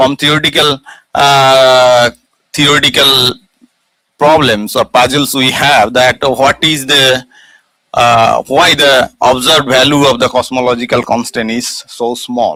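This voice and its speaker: A man speaks fairly slowly at medium pitch with fairly even intonation. His tone is bright and sharp. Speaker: physics lecturer. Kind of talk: lecture. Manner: halting, many fillers.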